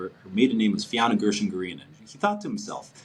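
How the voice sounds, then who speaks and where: A man speaks with a New York accent over noticeable background noise. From New York (Brooklyn, Long Island). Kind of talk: casual chat. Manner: halting, many repetitions.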